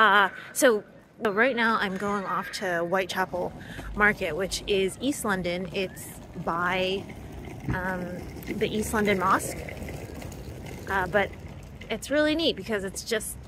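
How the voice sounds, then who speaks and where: Over noticeable background noise, a woman speaks at a fairly slow pace with long, frequent pauses. Her pitch varies in an ordinary way, and the sound is dry with no echo. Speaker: cooking vlogger. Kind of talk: casual vlog chat. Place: street. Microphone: phone near.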